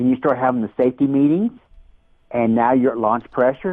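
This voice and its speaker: A man is heard with a normal speaking voice. His medium pitch shows ordinary pitch variation. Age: 60s. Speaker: daredevil rocket builder. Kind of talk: interview.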